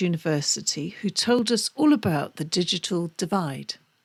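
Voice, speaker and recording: Lively intonation from a woman with a British accent, on a very clean recording with a silent background. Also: dry, close sound with no echo. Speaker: podcast host. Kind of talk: scripted narration.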